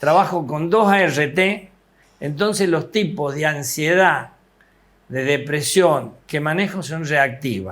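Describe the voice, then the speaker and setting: This man's voice is fairly high in pitch, with ordinary pitch variation, and he talks at a very slow pace. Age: 70s. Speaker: psychiatrist. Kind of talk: TV interview.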